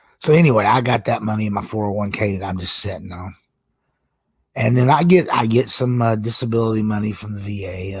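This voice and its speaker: Very fast, somewhat breathy speech from a man at a fairly low pitch with ordinary pitch variation, in a very clean recording with a silent background. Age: 50s. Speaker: gaming streamer, military retiree. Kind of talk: casual live stream monologue. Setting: live stream. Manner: rambling, hesitant fillers.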